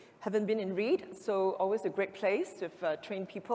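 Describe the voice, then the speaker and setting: A woman with a medium-pitched voice talks at a very fast pace over noticeable background noise. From Singapore. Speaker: events industry executive. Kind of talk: conference talk. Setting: stage with audience.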